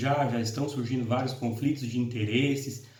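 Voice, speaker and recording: A man speaks at a medium pitch with fairly even intonation. His voice is somewhat breathy, and there is audible room echo. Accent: Paraná. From Brazil, interior of Paraná (Londrina region). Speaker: law professor. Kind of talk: lecture. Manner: halting, many fillers.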